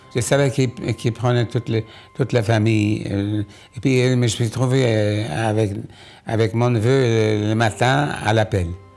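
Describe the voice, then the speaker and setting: A man talks at a fairly slow pace and medium pitch with fairly even intonation, music playing in the background. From Poland. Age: 80s+. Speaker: Holocaust survivor. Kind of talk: documentary interview answer.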